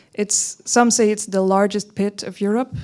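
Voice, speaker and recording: On a very clean recording with a silent background, a woman speaks at a fairly slow pace with medium pitch. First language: German (one of several). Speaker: writer. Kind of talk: artist presentation. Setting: presentation to an audience. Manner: hesitant, many fillers and restarts.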